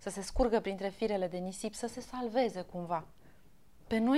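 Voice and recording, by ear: The text is read aloud in a natural voice, its pitch shifting in an ordinary way.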